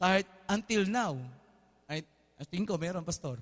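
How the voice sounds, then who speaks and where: A man's voice, high for a man, at a moderate pace with ordinary pitch variation against a quiet background. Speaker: preacher. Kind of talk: sermon. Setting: church with congregation. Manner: animated, call-and-response, urging the congregation to shout back; warm, informal, mixes Tagalog with English. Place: church.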